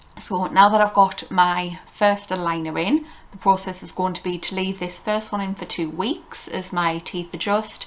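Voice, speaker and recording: A woman's medium-pitched voice at a moderate pace, with fairly even intonation, hardly any pauses, big swings in loudness, and noticeable background noise. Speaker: vlogger. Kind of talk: video diary. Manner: casual, hesitant.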